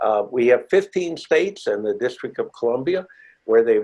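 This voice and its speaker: A man speaks with a fairly high pitch. His voice makes very wide pitch swings. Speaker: marijuana legalization activist and lawyer. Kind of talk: award acceptance speech. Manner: hesitant with fillers.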